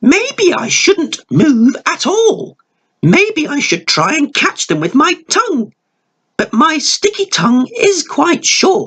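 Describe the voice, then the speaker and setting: This is a put-on character voice pitched high. The pace is fairly slow. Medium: read story. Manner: playful, cheeky.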